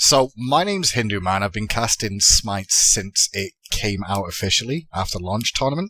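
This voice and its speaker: Moderate pace in an English accent, with hardly any pauses, ordinary pitch variation and a dry, close sound with no echo. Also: man, fairly low pitch for a man. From England, Manchester. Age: 30s. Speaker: esports commentator. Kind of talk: casual podcast chat. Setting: podcast recording.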